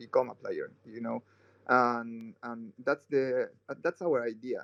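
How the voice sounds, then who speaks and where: A man with a Spanish accent speaks at a fairly slow pace with ordinary pitch variation, the sound dry and close with no echo. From Chile. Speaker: game project founder. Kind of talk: casual chat. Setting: online audio chat room. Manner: halting.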